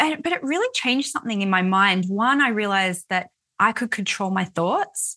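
A woman's medium-pitched voice with an Australian accent and a bright, sharp tone, ordinary pitch variation, a moderate pace and a quiet background. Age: 40s. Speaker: author and money mindset coach. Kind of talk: interview conversation.

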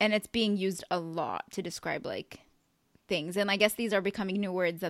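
A woman's medium-pitched voice with vocal fry at a fairly quick pace, dry and close with no echo. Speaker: podcast host. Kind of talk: casual chat. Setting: remote call.

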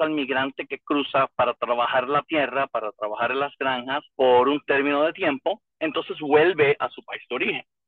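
Here is an unremarkable speaking voice from a man with a fairly high pitch. He moves at a moderate pace with ordinary pitch variation. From Puerto Rico. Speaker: retired federal immigration investigator. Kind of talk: interview.

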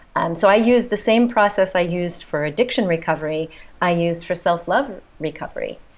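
Here a woman with an American accent talks at a very fast pace. Her pitch is fairly low with ordinary variation. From United States. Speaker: physician and trauma therapist. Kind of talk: casual chat.

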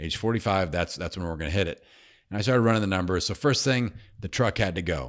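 On a very clean recording with a silent background, a man with a very deep, low voice talks very fast in an energetic tone with lively intonation. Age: 40s. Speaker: podcasting coach and entrepreneur. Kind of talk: interview.

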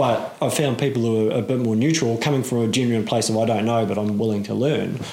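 Over noticeable background noise, a man with a New Zealand accent speaks very fast at a medium pitch, with hardly any pauses, fairly even intonation and very even loudness. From New Zealand, Auckland. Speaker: podcast host and hunting course instructor. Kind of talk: casual interview chat.

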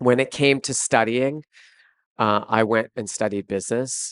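A man talks in a plain, everyday voice with fairly even intonation at a moderate pace. The sound is dry and close with no echo, over a quiet background. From Canada. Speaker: fashion entrepreneur and CEO. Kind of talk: live interview. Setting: stage with audience.

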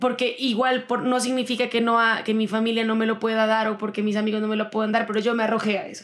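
A woman speaks very fast with hardly any pauses. Her voice is fairly high and monotone, with flat intonation. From Colombia, Pasto (Nariño). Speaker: singer-songwriter. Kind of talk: interview.

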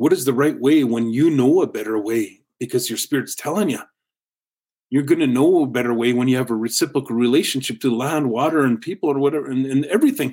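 At a very fast pace, a man speaks with a medium pitch, ordinary pitch variation and a dark, mellow tone. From North Vancouver, British Columbia, Canada. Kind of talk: interview. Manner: halting, repeats words.

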